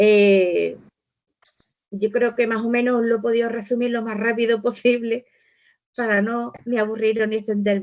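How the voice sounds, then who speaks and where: Speaking at a fairly slow pace with long, frequent pauses, a woman uses a fairly high pitch and a monotone, flat intonation. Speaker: volunteering organization speaker. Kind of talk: webinar presentation.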